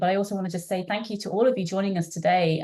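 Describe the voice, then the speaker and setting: A woman speaks with a slight British accent in a dark, mellow tone at a medium pitch. The background is quiet. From UK. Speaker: marine scientist. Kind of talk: webinar presentation. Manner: halting, many fillers.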